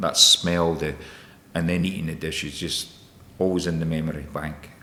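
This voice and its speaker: A man with a Scottish accent, very deep, low pitch, monotone, flat intonation and a fairly quick pace. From Scotland, Edinburgh area. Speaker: chef and business owner. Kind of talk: podcast interview. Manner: hesitant, many repetitions.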